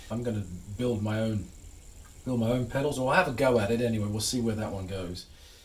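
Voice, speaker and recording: Through noticeable background noise and audible room echo, a man with an American accent and medium pitch talks very fast with ordinary pitch variation and long, frequent pauses. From England. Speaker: hobbyist guitarist and YouTuber. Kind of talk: tutorial. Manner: casual, halting with fillers and repeats.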